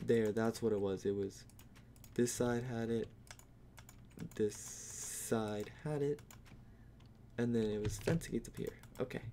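A man speaks quietly at a fairly slow pace, with long, frequent pauses and a medium pitch. His tone is dark and mellow, and his intonation fairly even. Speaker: gaming youtuber. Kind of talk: gameplay commentary. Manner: halting.

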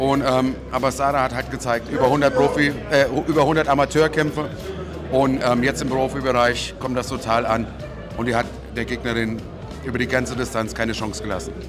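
Over clear background music, a man speaks at a fairly quick pace. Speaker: ring announcer and host. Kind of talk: interview answer. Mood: relaxed, upbeat. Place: hall. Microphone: handheld.

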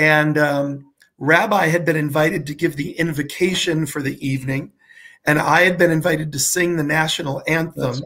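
With fairly even intonation, a man speaks at a moderate pace over a quiet background. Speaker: show host. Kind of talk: interview host chat. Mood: warm, laughing. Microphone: webcam.

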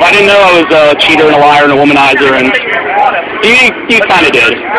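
Very fast speech from a man under loud background noise. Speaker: atheist filming a street conversation. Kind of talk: casual argumentative talk with a stranger. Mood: sarcastic, mocking. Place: street. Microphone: phone near.

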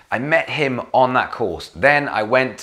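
In a Welsh accent, a man talks in an animated tone at a fairly slow pace. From Wales. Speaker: vlogger and gigging musician. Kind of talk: casual vlog monologue. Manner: chatty, animated.

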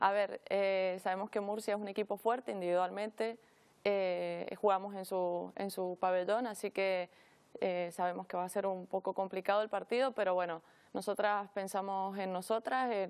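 Speaking at a moderate pace against a quiet background, a woman keeps her medium-pitched voice fairly even in intonation. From Argentina. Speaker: women's futsal player. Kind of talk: interview. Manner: hesitant, many fillers. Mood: calm, friendly. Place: studio. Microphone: lapel.

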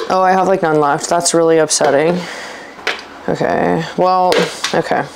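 Noticeable background noise around a woman's moderate-paced speech. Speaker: fitness vlogger. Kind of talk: casual vlog chat. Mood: casual, mildly annoyed. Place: kitchen. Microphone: lapel.

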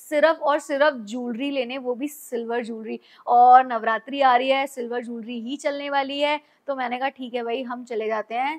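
Against a quiet background, a woman speaks at a high pitch with fairly even intonation. Her pace is moderate. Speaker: vlogger. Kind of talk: casual vlog chat. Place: home room.

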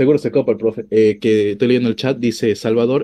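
The man's tone is dark and mellow as he talks fairly quickly. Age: 20s. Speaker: streamer, programming student; streamer. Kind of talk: casual chat. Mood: relaxed storytelling.

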